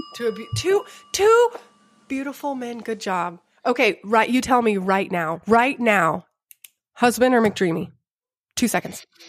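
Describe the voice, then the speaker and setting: Speaking fairly slowly with long, frequent pauses, a woman with an American accent uses a fairly high pitch, lively intonation, a playful tone and big swings in loudness. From Grapevine, Texas. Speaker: podcast host. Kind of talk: casual chat.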